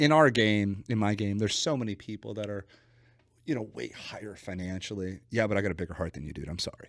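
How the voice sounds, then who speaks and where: Speaking with a West Coast accent, a man talks at a very fast pace. His voice is fairly low with ordinary pitch variation. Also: big swings in loudness. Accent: West Coast twang. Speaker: business coach. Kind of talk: podcast interview. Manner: animated; casual.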